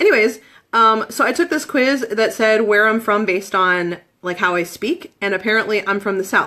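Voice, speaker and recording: A woman with a Midwestern accent talks at a fairly quick pace in a fairly high, bright, sharp tone with lively intonation. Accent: Midwest. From Michigan, US Midwest. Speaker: essential oils seller. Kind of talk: live-stream presentation. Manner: casual, lots of fillers.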